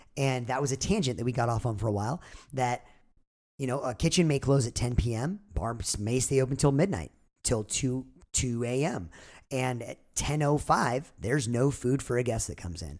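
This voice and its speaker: A man with an American accent speaks at a medium pitch with ordinary pitch variation. The recording is very clean, with a silent background. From Southern California (San Clemente). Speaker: bartender and jerky business co-owner. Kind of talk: casual chat. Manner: fast.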